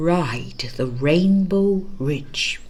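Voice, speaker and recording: In a put-on character voice at a low-to-middle pitch, the speaker comes through noticeable background noise and hissing. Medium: read story.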